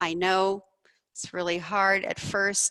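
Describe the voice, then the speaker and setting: A woman at a fairly slow pace with a quiet background. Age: 60s. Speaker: doctor and researcher presenting a study. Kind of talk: lecture. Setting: presentation room with audience, also streamed online. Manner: passionate.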